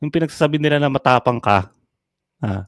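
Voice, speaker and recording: Racing at a very fast pace, a man with a fairly high-pitched voice speaks with lively intonation, sounding dry and close with no echo in a very clean recording over a silent background. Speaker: online content creator. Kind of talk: mocking rant at a rival creator. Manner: animated, frequent laughter.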